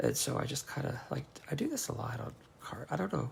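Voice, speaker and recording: A man speaks with vocal fry, his pitch swinging very widely. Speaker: craft demonstrator. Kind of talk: craft tutorial. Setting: livestream. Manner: rambling, halting.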